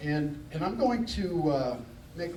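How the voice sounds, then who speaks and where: A man's fairly high voice at a fairly slow pace, with noticeable background noise. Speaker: keynote speaker, motivational speaker. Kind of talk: keynote speech to a live audience. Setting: live convention hall. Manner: conversational, humorous, audience-engaging.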